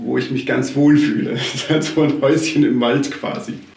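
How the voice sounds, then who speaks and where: A man speaks at a fairly high pitch, with audible room echo and noticeable background noise. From South Tyrol, Italy (Schnals valley). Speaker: arborist. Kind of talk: interview.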